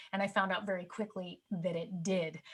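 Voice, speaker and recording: A woman's medium-pitched voice at a fairly quick pace. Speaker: media coach and TV host. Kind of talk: presentation. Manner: fast.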